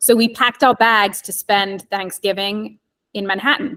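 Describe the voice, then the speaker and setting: This woman has a medium pitch and a slight English accent. Her intonation stays fairly even, and the sound is dry and close with no echo. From England (London). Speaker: real estate agent. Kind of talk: casual chat.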